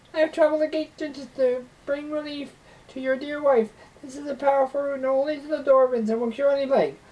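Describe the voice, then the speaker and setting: Someone delivers a put-on character voice at a very fast pace. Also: woman, high pitch for a woman. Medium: read story. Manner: soft, sly.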